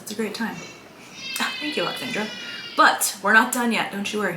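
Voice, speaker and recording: There is audible room echo and noticeable background noise. Over it, a woman talks at a medium pitch in an animated tone. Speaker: mom coach running online healing course. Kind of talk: live-stream workshop with sales pitch. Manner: fast.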